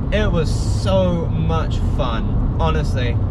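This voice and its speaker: A man's voice with a dry, echo-free sound over loud background noise. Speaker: primary school teacher. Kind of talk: casual vlog chat. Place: car. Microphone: phone near.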